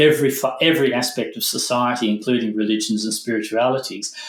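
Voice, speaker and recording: A man at a moderate pace, medium pitch and fairly even intonation. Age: 60s. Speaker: former monk, meditation teacher. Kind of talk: conversational interview. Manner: halting.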